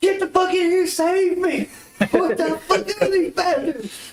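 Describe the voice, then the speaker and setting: In a put-on character voice, a man shouts loudly at a fairly slow pace. His voice is squeaky and extremely high-pitched. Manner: yelling as loud as possible.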